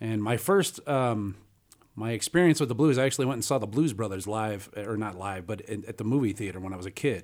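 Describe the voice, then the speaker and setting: This man has a Chicago accent and a fairly low pitch. He talks at a fairly quick pace with ordinary pitch variation. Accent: Chicago-area American. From northern Illinois (Antioch). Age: 40s. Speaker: blues guitarist and bandleader. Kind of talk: interview conversation. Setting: radio studio.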